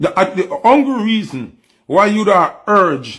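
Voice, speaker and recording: A man speaks with a Jamaican accent. His tone is animated. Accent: Jamaican Patois-inflected English. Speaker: news commentary host. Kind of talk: opinionated news commentary.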